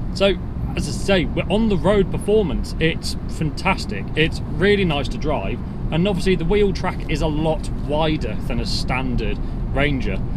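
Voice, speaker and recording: Noticeable background noise runs under this man's voice. There is no echo, and the sound is dry. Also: ordinary pitch variation, moderate pace. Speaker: presenter. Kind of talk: car review commentary. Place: car.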